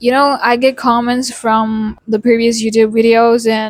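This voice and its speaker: A woman speaks at a fairly slow pace in a fairly high pitch. Her intonation stays monotone and flat. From India. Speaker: accent coach YouTuber. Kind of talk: tutorial.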